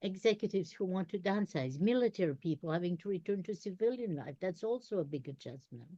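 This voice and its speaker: Speaking at a fairly quick pace, the voice has a dark, mellow tone and lively intonation. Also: woman. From Belgium. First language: not English (English is third language). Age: old. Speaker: career strategist. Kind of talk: interview conversation.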